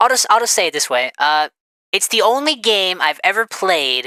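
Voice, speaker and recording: A woman's bright, sharp tone swings very widely in pitch, recorded with a dry, close sound and no echo. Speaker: gaming commentator. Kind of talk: casual commentary. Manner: fast; animated.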